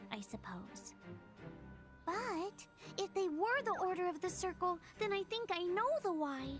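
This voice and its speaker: A female-sounding voice performs a put-on character voice at a moderate pace. Clear music plays in the background. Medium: video game. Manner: quirky speech, stray "the" everywhere.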